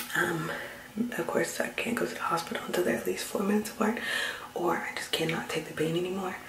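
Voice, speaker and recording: A woman whispering at a very fast pace. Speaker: pregnant vlogger. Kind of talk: casual vlog chat. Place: bathroom. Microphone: phone near.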